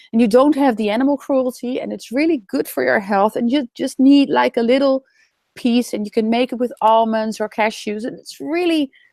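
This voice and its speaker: A woman with a Dutch accent talks at a moderate pace in a high voice with a dark, mellow tone and ordinary pitch variation. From Netherlands. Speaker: raw food and vegan speaker. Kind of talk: webinar interview. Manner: hesitant, with fillers.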